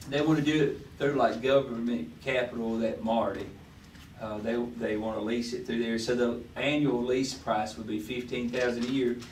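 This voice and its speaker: A man with a Southern US accent speaks at a moderate pace with fairly even intonation, and the room echo is audible. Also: medium pitch for a man. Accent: US South. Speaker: city official presenting budget. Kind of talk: budget workshop meeting discussion. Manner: halting, many fillers; speaking loudly.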